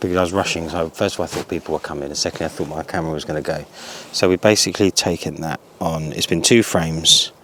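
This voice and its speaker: Speech comes at a very fast pace with fairly even intonation, over noticeable background noise. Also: man. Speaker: photography vlogger. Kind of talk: casual vlog narration. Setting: outdoors.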